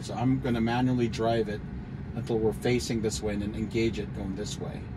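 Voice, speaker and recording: Noticeable background noise sits behind the voice. A man speaks with ordinary pitch variation. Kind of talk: casual driving commentary. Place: car. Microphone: phone near.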